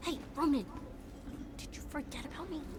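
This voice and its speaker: A put-on character voice speaks at a high pitch over loud background noise. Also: moderate pace. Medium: video game.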